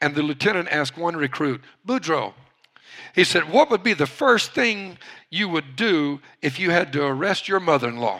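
A man speaks with a Louisiana accent at a moderate pace. His pitch swings very wide. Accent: Louisiana Southern US. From Louisiana, US. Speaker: pastor. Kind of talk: sermon.

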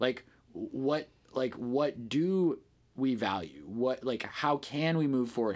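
This man has a plain, everyday voice at a medium pitch, with ordinary pitch variation and a fairly slow pace. The recording is very clean, with a silent background. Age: 30s. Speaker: ecstatic dance DJ. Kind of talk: casual interview chat.

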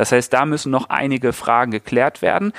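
A moderate pace on a very clean recording with a silent background. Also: man. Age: 30s. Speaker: farmer and founder. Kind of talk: interview. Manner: hesitant with fillers.

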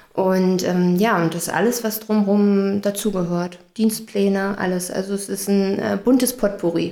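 Over noticeable background noise, the speaker goes fairly slowly in a monotone, flat delivery with hardly any pauses. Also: woman, medium pitch for a woman. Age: 30s. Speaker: head of housekeeping in care home. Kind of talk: casual interview. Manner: hesitant with fillers.

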